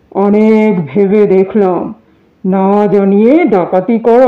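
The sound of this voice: Delivered in an unforced reading voice, the speech has fairly even intonation.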